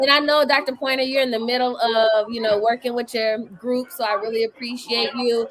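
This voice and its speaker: Against noticeable background noise, a woman with a high pitch and an American accent talks in an animated tone at a fairly quick pace with hardly any pauses. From Washington DC area. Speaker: ministry researcher and livestream host. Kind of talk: live-stream talk to an audience.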